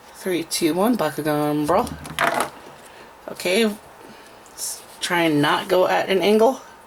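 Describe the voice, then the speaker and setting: The speech moves at a very slow pace with long, frequent pauses over noticeable background noise. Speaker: toy unboxing reviewer. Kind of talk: casual talk to camera.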